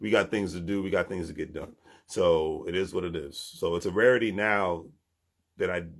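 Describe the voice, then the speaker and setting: A man speaks on a very clean recording with a silent background. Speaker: vlogger. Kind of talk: motivational vlog.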